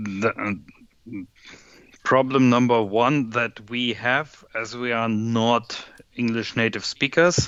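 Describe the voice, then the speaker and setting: Speaking very slowly in a German accent, a man at medium pitch keeps his intonation fairly even and leaves long, frequent pauses. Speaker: software developer. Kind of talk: casual chat while coding.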